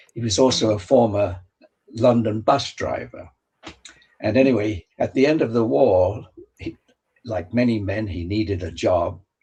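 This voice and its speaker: Speaking at a fairly slow pace, a man with a fairly low pitch sounds somewhat breathy, with ordinary pitch variation. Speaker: author and world traveller. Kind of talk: interview storytelling. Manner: halting, with fillers and restarts.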